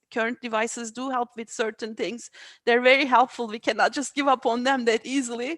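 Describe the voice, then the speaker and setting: Speaking fairly quickly with a Turkish accent, a woman uses a high-pitched voice in a dry, close sound with no echo. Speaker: AI researcher. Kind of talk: interview. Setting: video call. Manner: halting, many fillers.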